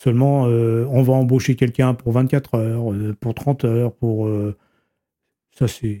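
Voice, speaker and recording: A man's medium-pitched voice, dark and mellow, monotone and flat, at a very slow pace in a dry, close sound with no echo. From western France, Vienne. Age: 70s. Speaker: retired manual worker. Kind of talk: interview testimony. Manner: halting, repetitive.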